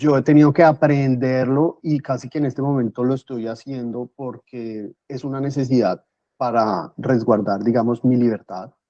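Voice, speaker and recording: Speaking with a dark, mellow tone at medium pitch, a man talks at a moderate pace with hardly any pauses and ordinary pitch variation, with a dry, close sound and no echo. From Colombia, Bogotá. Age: 30s. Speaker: guest, finance professional. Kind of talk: interview conversation.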